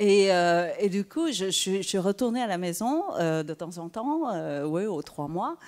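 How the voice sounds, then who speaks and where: A woman with a Vietnamese accent talks at a very slow pace with lively intonation. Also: medium pitch for a woman. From southern Vietnam (Saigon), then Quebec from age 10. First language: Vietnamese (speaking French). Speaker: writer. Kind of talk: panel discussion. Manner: halting, many hesitations.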